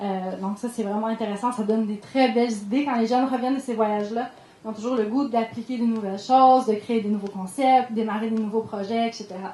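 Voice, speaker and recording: In a Quebec accent, a woman with fairly high pitch talks in a monotone, flat intonation, with audible room echo and noticeable background noise. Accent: Québécois French. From Quebec, Ham-Nord. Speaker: sustainable development coordinator. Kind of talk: conference talk. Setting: conference room with audience. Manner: fast; hesitant fillers.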